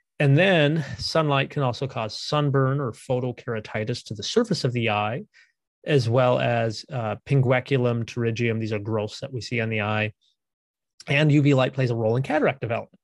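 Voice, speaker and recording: A man talks at a medium pitch with an American accent. His pace is fairly quick. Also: ordinary pitch variation. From Minnesota. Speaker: optometrist. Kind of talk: interview explaining eye health. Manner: articulate.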